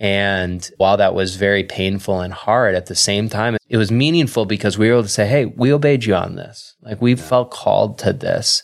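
A man with an American accent speaks at a fairly quick pace, with hardly any pauses. His pitch is fairly low with ordinary variation, and he has an ordinary speaking voice. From Wisconsin. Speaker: pastor. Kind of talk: casual interview.

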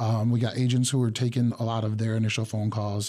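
The setting is quiet. A man's tone is dark and mellow. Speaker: city call center manager. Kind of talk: radio interview. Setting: studio.

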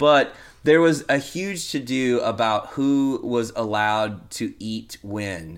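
On a very clean recording with a silent background, a man with a Texan accent speaks very slowly in a medium pitch with lively intonation. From Texas. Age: 40s. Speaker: punk rock singer and comedian. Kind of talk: casual chat.

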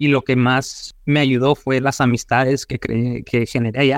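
With a medium pitch and a flat, monotone delivery, a man speaks at a moderate pace in a dry, close sound with no echo. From Mexico, Sonora (Hermosillo). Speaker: financial advisor for small businesses. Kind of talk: interview.

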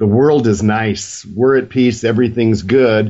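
A man with an ordinary speaking voice at medium pitch. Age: 60s. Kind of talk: casual panel discussion.

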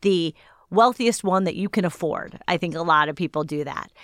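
Speaking with an American accent in a plain, everyday voice, a woman of medium pitch keeps a moderate pace with ordinary pitch variation, in a dry, close sound with no echo on a very clean recording with a silent background. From Cleveland area, Ohio (Shaker Heights). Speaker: journalist and author. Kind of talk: interview.

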